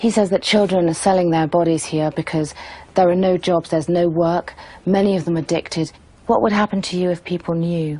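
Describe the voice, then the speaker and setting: A woman with a fairly low pitch and a dark, mellow tone talks at a fairly quick pace. Her intonation stays fairly even and her tone is serious. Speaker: television reporter. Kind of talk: documentary narration with on-location reporting. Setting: outdoors on location in Kabul. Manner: serious, sombre, measured; urgent, conversational reporting on the spot. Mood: upset, emotional. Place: home room.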